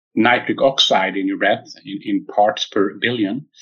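A man speaks with a Swedish accent. His intonation stays fairly even. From Sweden. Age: 50s. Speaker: tech company founder and physicist. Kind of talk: interview. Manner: halting, many fillers.

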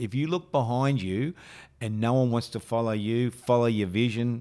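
With a strong Australian accent, a man speaks at a moderate pace with ordinary pitch variation. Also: very clean recording, silent background. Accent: broad Australian. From western Sydney, Australia. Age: 50s. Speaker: business leadership mentor. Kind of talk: podcast interview. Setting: studio.

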